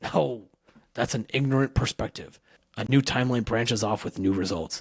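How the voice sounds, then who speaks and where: Putting on a raspy character voice at medium pitch, a man speaks at a moderate pace in a dry, close sound with no echo. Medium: read story. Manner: brooding, bitter.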